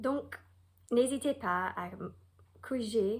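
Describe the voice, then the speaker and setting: A woman is speaking. She has an American accent. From United States. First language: English (speaking French). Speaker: Bible teacher. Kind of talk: Bible lesson; reading aloud.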